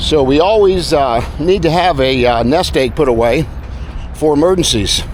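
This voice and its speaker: Noticeable background noise runs under this moderately paced voice. Its loudness stays very even, and its pitch variation is ordinary. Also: man, fairly high pitch for a man. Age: 70s. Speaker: retiree giving senior lifestyle advice. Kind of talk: casual talk to camera while walking. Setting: outdoors.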